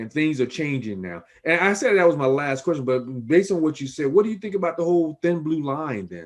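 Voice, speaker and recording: In an American accent, a man with a fairly high pitch and a plain, everyday voice talks at a fairly quick pace with lively intonation. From Chicago. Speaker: private investigator and interview host. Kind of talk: interview.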